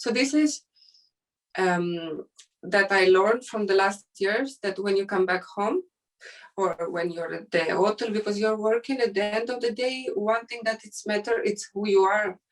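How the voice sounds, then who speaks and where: At a fairly slow pace, a woman with a non-native accent talks at a medium pitch with ordinary pitch variation. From Ukraine and Syria. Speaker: fashion model. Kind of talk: interview. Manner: halting.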